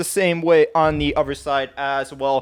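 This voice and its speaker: It is a man who talks here. The audio is very clean, without a sound in the background. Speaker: tech YouTuber. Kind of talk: tutorial. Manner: fast.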